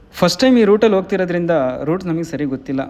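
The pitch varies in an ordinary way, with noticeable background noise behind the voice. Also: man. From Karnataka, Sakleshpur. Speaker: travel vlogger. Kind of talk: vlog narration. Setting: in a car. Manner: animated.

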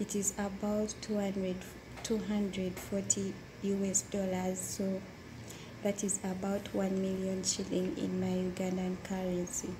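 A woman speaks at a very slow pace in a monotone, flat delivery. Background noise is noticeable. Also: medium pitch for a woman. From Uganda. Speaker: domestic worker. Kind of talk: interview. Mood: calm, sometimes smiling. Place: home room. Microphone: phone near.

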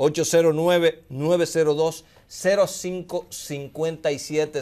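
A man talks at a fairly slow pace with a fairly high pitch. His tone is clear, smooth and slightly mellow.

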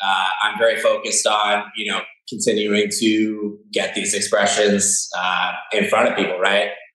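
Heard with audible room echo, a man with an American accent speaks at a fairly slow pace. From Los Angeles, California. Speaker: spirits brand founder. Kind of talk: casual interview.

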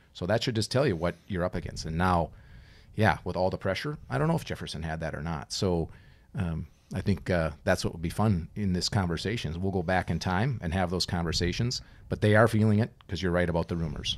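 This man's voice sits very deep and low, with an American accent. His pitch rises and falls in an ordinary way. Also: fairly quick pace. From Minnesota. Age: 50s. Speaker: former college hockey player, youth coach. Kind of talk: casual chat. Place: studio. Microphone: studio mic.

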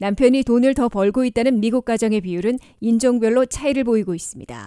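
Over a very clean recording with a silent background, a woman's fairly high pitch comes through in a dark, mellow tone, with ordinary pitch variation and a dry, close sound free of echo. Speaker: news anchor. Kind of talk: news reading. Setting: studio. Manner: formal.

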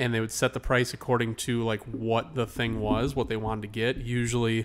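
A man speaking at a moderate pace. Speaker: podcast co-host. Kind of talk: casual podcast chat. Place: home room. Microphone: studio mic.

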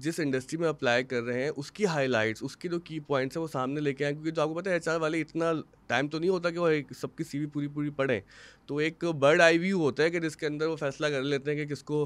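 Here a man has an unremarkable speaking voice with a fairly high pitch. He talks at a fairly quick pace with fairly even intonation. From Pakistan. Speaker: podcast host. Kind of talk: interview. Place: studio. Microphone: studio mic.

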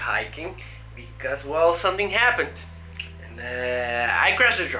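Background music is playing. The speaker is a man. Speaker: fitness vlogger. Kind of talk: casual vlog chat. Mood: rueful, animated storytelling. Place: home room. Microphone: phone near.

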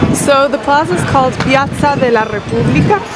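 Loud background noise with a dry sound and no echo. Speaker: travel vlogger. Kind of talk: casual vlog chat. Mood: playful, laughing. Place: street. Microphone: phone near.

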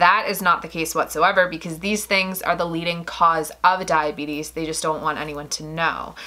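Keeping a fairly even intonation, a woman talks at a moderate pace in a fairly low voice. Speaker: vegan vlogger. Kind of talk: casual vlog chat. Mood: earnest, somber on cancer. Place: home room.

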